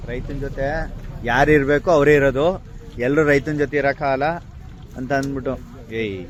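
Noticeable background noise sits behind a man whose voice has a fairly high pitch. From rural Karnataka. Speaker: farmer vlogger. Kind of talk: walking vlog narration. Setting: outdoors at a village fair. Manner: animated.

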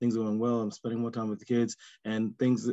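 A man with a New York accent over a quiet background. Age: 50s. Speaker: coach. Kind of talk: casual group discussion. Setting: video call. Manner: halting. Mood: grateful, positive. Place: home room. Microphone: video call.

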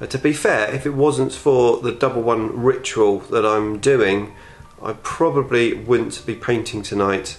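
A man talks fairly slowly while faint music plays in the background. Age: 40s. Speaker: YouTuber, miniature painter; YouTuber. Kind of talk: casual vlog. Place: home room. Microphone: phone near.

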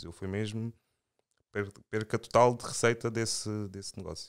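A man speaks at a moderate pace. The recording is very clean with a silent background, and the sound is dry and close with no echo. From Portugal, Angolan-born. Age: 30s. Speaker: financial consultant and investor. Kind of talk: casual chat.

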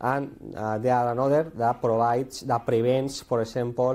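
With a Spanish accent, a man speaks at a medium pitch in a dark, mellow tone. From Spain. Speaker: conference speaker. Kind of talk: technical talk. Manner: halting, many fillers and repetitions. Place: classroom.

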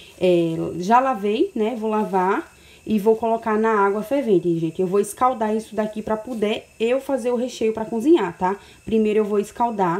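Her pitch shows ordinary variation. The woman keeps to a moderate pace. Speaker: home cooking vlogger. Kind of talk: casual cooking tutorial. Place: kitchen. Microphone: phone near.

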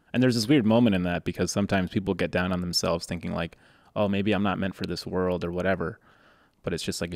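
Fairly quick speech from a man with an American accent, very deep, low pitch and fairly even intonation over a quiet background. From Boston. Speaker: podcast host. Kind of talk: casual interview. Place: studio. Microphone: studio mic.

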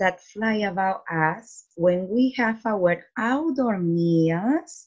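Against a quiet background, a woman speaks at a very slow pace with lively intonation. Her voice is dark, mellow and somewhat breathy. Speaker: teacher. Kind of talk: reading lesson for children. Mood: warm, encouraging. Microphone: webcam.

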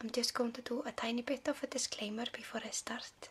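A soft-spoken woman with an Icelandic accent, fairly high in pitch, at a moderate pace with fairly even intonation. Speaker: ASMR creator. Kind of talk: ASMR video. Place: home room.

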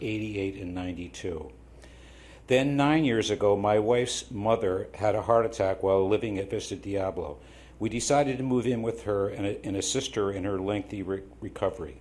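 Moderately paced, somewhat breathy speech with ordinary pitch variation and audible room echo. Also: man. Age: 70s. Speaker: public commenter at city council. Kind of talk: public comment speech. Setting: city council meeting. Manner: halting, with fillers.

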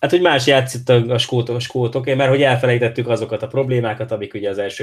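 Somewhat breathy, a man speaks at a medium pitch. His pace is very fast. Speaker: podcast host. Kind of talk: casual interview chat about football.

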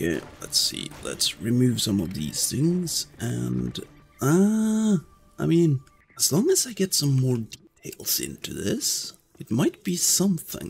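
At a very slow pace, a man speaks over light background noise. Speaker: gaming youtuber. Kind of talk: gameplay commentary; casual gameplay commentary. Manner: casual, hesitant with fillers. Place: home room.

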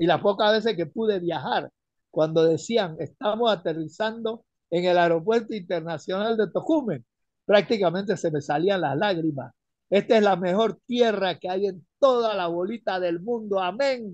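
Against a quiet background, a man talks in an animated tone at a high pitch. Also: ordinary pitch variation, moderate pace, dry sound with no echo. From Panama. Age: 70s. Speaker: retired caller; caller. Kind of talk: radio call-in opinion. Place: home room. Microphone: phone near.

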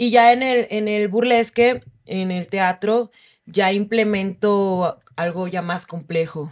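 A woman talks at a very slow pace with ordinary pitch variation. The recording is very clean, with a silent background. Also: medium pitch for a woman. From Oaxaca, Mexico. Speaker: stripper and sex worker rights activist. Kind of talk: interview storytelling.

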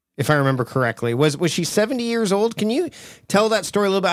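A man talks at a very fast clip, his pitch swinging very widely. The recording is very clean, with a silent background. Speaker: podcast host. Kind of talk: interview.

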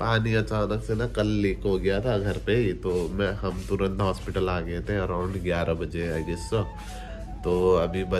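Clear music plays behind a man speaking at a fairly slow pace with a very deep, low pitch. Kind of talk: casual vlog chat. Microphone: phone near.

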